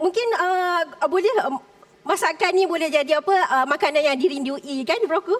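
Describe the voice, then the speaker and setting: The speech has lively intonation and very even loudness, with noticeable background noise behind it. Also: woman, extremely high pitch for a woman, moderate pace. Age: 40s. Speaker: food entrepreneur contestant. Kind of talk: pitch to judges on reality show. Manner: halting.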